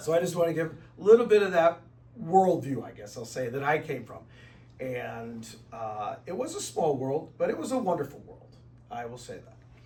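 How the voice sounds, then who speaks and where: A man with an American accent speaks at a moderate pace, with very wide pitch swings and big swings in loudness. Noticeable background noise and audible room echo surround him. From US Midwest, South St. Louis, Missouri. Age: 60s. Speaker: speaker at retreat. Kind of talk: talk to a group. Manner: conversational.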